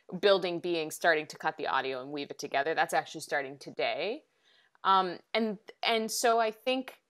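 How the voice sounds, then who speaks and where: In an unremarkable speaking voice, a woman with an American accent talks at a moderate pace, with lively intonation and big swings in loudness. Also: fairly low pitch for a woman. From rural US. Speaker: podcast reporter. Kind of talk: interview on podcasting craft. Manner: many fillers and restarts.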